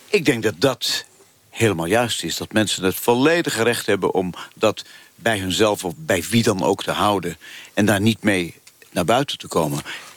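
Amid noticeable background noise, a man talks at a moderate pace with a fairly low pitch. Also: lively intonation. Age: 80s+. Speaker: former football referee and ex-politician. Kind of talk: live radio debate.

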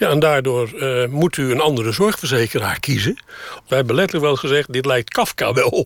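Over noticeable background noise, a man with a fairly high pitch talks fairly quickly with ordinary pitch variation. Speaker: retiree living in a camper. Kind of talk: interview. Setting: inside a camper.

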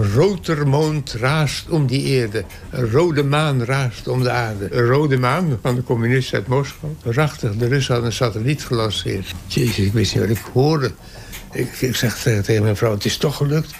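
A man speaks at a medium pitch and moderate pace, with ordinary pitch variation and very even loudness, over noticeable background noise. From Texel, Netherlands. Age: 80s+. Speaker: astronomer. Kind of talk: interview storytelling. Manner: animated.

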